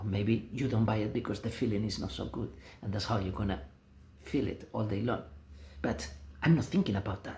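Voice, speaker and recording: A man in a Spanish accent talks at a fairly quick pace, broken by long, frequent pauses. His fairly low, somewhat breathy voice has a dark, mellow tone and ordinary pitch variation. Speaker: vlogger. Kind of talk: casual monologue. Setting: self-filmed video, no music. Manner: halting.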